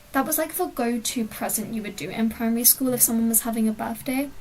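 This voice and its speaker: Over noticeable background noise, a woman talks at a fairly quick pace in a relaxed tone, her pitch fairly high with ordinary variation. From England, village. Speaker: gaming streamer. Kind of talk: casual live stream chat. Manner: relaxed, chatty.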